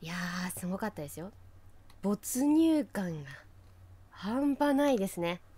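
At a fairly slow pace, a woman with a somewhat breathy, dark, mellow voice speaks at a medium pitch, with very wide pitch swings, big swings in loudness, and long, frequent pauses. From Fukushima, Japan. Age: 30s. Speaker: local TV announcer, podcast co-host. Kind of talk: casual chat. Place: studio.

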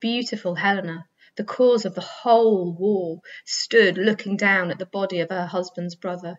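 The recording features a natural reading voice.

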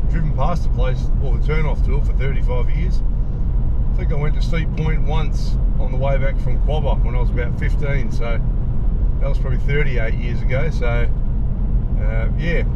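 Over loud background noise, a man speaks at a moderate pace with long, frequent pauses. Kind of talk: casual vlog chat. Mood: relaxed, looking forward. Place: car. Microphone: camera far.

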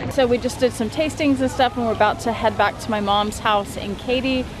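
Fairly quick speech with fairly even intonation, a dry sound with no echo and noticeable background noise. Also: woman. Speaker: vlogger. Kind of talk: casual vlog chat. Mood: self-conscious, chatty. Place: waterside. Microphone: phone near.

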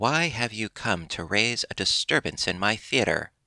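A man's gruff, put-on character voice at medium pitch and a moderate pace, on a very clean recording with a silent background. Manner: angry, demanding.

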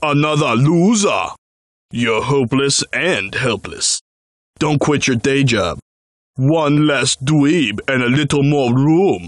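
A man's fairly high pitch at a fairly slow pace. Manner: taunting, sneering.

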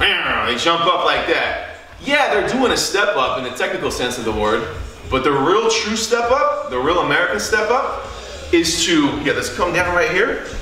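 Over light background noise and audible room echo, a man talks at a moderate pace. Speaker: fitness trainer. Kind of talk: tutorial. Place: home room.

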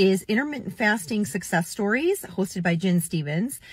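A somewhat breathy woman's voice in a dry sound with no echo. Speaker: weight loss vlogger. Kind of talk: casual vlog chat. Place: car. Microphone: phone near.

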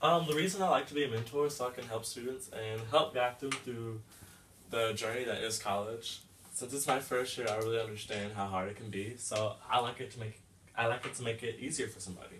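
Over light background noise, a man with an American accent talks with ordinary pitch variation. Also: fairly quick pace. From Texas. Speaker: college student mentor. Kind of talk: role-play phone call. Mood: friendly, encouraging. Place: home room.

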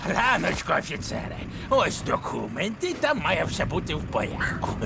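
Against loud background noise, a man uses a put-on character voice at a moderate pace. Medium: fan dub.

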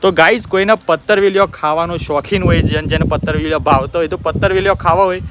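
A man with a high pitch and fairly even intonation speaks over noticeable background noise. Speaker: vlogger. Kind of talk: casual vlog narration.

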